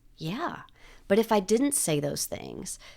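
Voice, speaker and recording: A woman with a dark, mellow tone speaks in a Southern US accent. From US South, Nashville, Tennessee. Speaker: public relations and crisis communications consultant. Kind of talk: interview conversation. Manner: fast; confident.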